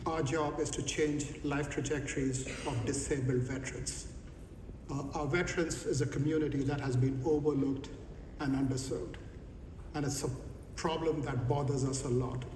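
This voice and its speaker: Speaking in an Indian accent, a man with a fairly high voice uses monotone, flat intonation amid audible room echo and noticeable background noise. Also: moderate pace. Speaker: company executive. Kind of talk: panel discussion.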